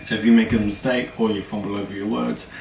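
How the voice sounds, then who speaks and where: At a fairly quick pace, a man with a fairly low pitch speaks in fairly even intonation over noticeable background noise. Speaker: YouTuber. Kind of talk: tutorial. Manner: fast.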